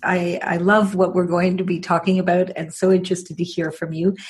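Somewhat breathy and medium in pitch, a woman speaks at a fairly quick pace. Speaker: podcast host. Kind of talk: interview, scripted intro.

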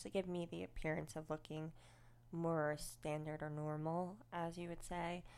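This woman speaks with an American accent. Her voice is very deep and low in pitch. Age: 30s. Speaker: podcast host in recovery. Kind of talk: personal testimony.

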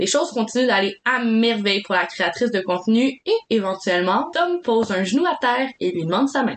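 At a fairly quick pace, a woman with a fairly high pitch speaks in a Quebec accent. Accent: Québécois French. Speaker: podcast co-host. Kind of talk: storytelling from a script.

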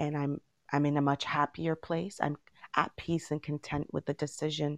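Against a quiet background, a woman with a very deep, low voice speaks at a moderate pace in a flat monotone, the sound dry and close with no echo. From Jamaica until age 9, then Toronto, Canada. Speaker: teacher and poet. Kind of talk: interview. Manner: hesitant, frequent fillers.

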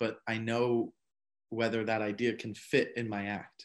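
A man with an American accent speaks at a fairly slow pace in an ordinary speaking voice. His medium pitch keeps a fairly even intonation against a quiet background. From South Florida suburbs. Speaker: stand-up comedian. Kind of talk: casual chat.

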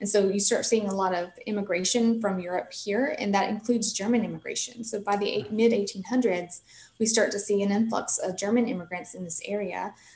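A woman with a Southern US accent talks at a fairly quick pace and medium pitch, with fairly even intonation, hardly any pauses, and noticeable background noise. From US South, north Mississippi. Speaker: park ranger. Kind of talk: interview.

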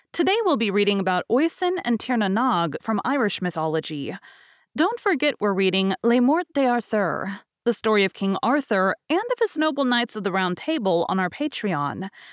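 Her fairly high voice swings very widely in pitch as this woman talks at a moderate pace, recorded very cleanly with a silent background and a dry, close sound with no echo. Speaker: podcast host and audiobook narrator. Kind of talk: casual interview.

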